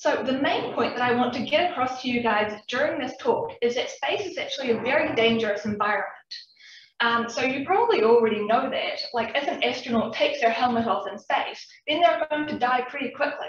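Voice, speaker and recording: There is audible room echo as a woman with a New Zealand accent speaks at a high pitch. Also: ordinary pitch variation, fairly quick pace. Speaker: PhD student researcher. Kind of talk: public science talk. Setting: talk with live and Zoom audience.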